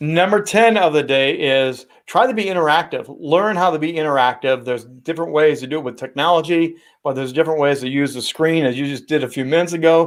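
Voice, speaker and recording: A man with an American accent, fairly high-pitched, at a very fast pace with ordinary pitch variation, on a very clean recording with a silent background. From Indiana, US Midwest. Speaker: sportscaster and speaking coach. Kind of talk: interview.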